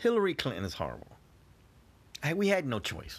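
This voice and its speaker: Over a silent background in a very clean recording, a man with vocal fry swings his pitch very widely. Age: 50s. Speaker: podcast host. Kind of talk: casual monologue.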